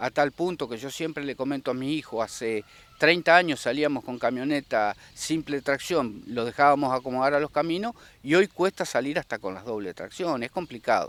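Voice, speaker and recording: Dry and close with no echo, the speech moves at a moderate pace with ordinary pitch variation. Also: man, fairly high pitch for a man. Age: 60s. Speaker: rice farmer. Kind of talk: interview. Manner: halting.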